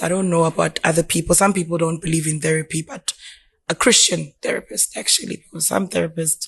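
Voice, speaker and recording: At a fairly quick pace, a woman speaks somewhat breathily in a fairly low pitch with ordinary pitch variation. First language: not English. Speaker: podcast guest. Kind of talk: casual chat.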